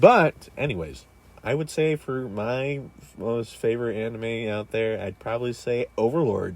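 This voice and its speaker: With lively intonation, a man talks at a fairly slow pace and a medium pitch. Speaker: podcast co-host. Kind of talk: casual chat. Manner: put-on radio voice.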